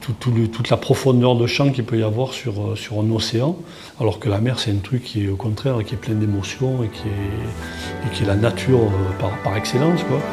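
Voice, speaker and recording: A man talks with a medium pitch and ordinary pitch variation. His moderate pace comes through noticeable background noise. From southern France, Toulon. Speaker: comic book artist. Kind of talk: interview. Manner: halting, many repetitions and fillers.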